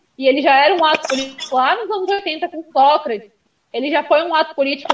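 Talking fairly quickly, a woman lets her pitch vary in an ordinary way. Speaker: sports show host. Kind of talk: casual chat about football.

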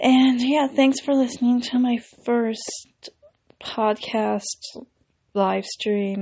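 A woman speaks in a high pitch at a very slow pace. Her intonation stays fairly even. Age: 20s. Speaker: YouTuber and actress in training. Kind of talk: casual solo podcast monologue. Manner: pauses to think.

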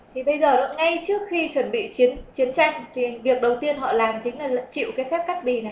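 Over noticeable background noise and audible room echo, a woman speaks very slowly in a high pitch with lively intonation and hardly any pauses. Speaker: interpreter for Bible teacher. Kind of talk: consecutive interpretation of a Bible lecture.

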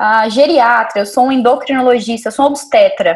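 She speaks with a high pitch. The woman's pitch varies in an ordinary way. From Brazil, Montes Claros, Minas Gerais. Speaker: neuroradiologist. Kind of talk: casual interview.

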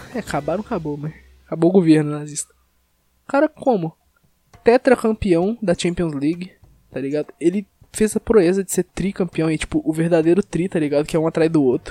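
A man with a high pitch and a dark, mellow tone talks at a fairly quick pace with long, frequent pauses, in a dry, close sound with no echo. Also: ordinary pitch variation. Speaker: podcast host. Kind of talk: casual chat.

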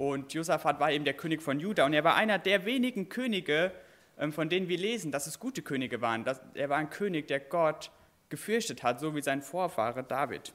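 In a very clean recording with a silent background, a man with a normal speaking voice and a fairly high pitch talks at a fairly quick pace with lively intonation. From Westerwald, Germany. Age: 20s. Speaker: preacher, children's camp worker. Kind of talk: sermon.

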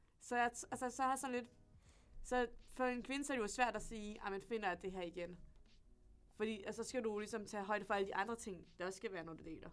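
At a very fast pace, a woman speaks in a fairly high voice with ordinary pitch variation. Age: 20s. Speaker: university student. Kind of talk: casual chat. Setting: studio.

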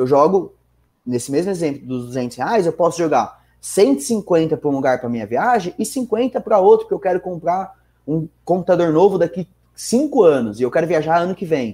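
At a moderate pace, a man with a high voice and a dark, mellow tone makes very wide pitch swings on a very clean recording with a silent background. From São Bernardo do Campo, Greater São Paulo, Brazil. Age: 20s. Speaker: financial market professional. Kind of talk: casual podcast interview.

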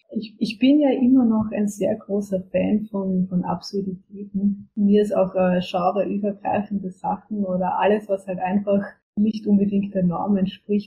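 A woman talks in an unremarkable speaking voice at a medium pitch, with fairly even intonation. Her pace is fairly slow, with hardly any pauses. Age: 20s. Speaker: book publisher and author. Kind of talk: interview. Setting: remote call from home. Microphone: poor audio quality, recording problems.

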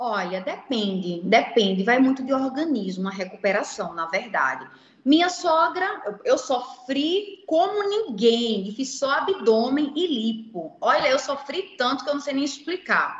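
A woman with a high pitch and very wide pitch swings speaks at a fairly slow pace with hardly any pauses. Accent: Pernambuco. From Recife, northeastern Brazil. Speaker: founder of a cosmetic surgery financing project. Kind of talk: interview. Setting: livestream.

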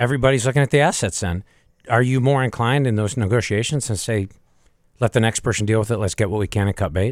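The background is silent and the recording very clean. A man's words come very fast. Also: medium pitch for a man, ordinary pitch variation. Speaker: podcast host. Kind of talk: casual panel discussion.

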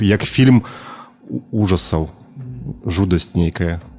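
A man with a very deep, low pitch. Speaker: music collaborator. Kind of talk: casual chat.

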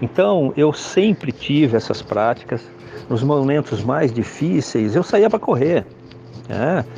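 With lively intonation and a very slow pace, the speaker talks over noticeable background noise. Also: man, fairly high pitch for a man. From Brazil, São Paulo city. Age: 60s. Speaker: security consultant, retired army officer. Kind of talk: podcast interview. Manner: halting, many filler hesitations.

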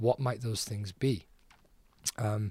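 Fairly low, somewhat breathy male voice with a Scouse accent, monotone, flat intonation and a moderate pace, on a very clean recording with a silent background. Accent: Scouse (Liverpool) English. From Liverpool, England. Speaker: soccer coach and PE teacher. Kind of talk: interview. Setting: conference.

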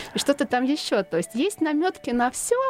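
A woman speaks with very wide pitch swings. The sound is dry and close with no echo, though noticeable background noise comes through. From central Russia, Tula. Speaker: novelist. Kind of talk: interview. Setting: studio.

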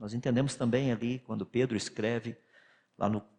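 This is an unremarkable speaking voice from a man at medium pitch. He keeps a moderate pace. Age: 60s. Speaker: physicist and creationist lecturer. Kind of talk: lecture.

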